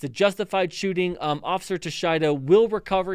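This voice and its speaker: A man speaking at a fairly quick pace, on a very clean recording with a silent background. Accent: American. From Chicago area, US Midwest. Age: 40s. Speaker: police officer and legal commentator. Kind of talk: live stream commentary. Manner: halting, many fillers and repetitions.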